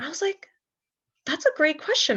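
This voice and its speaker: Before a quiet background, a woman with a Cantonese accent speaks with very wide pitch swings. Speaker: journalist. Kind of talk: panel discussion.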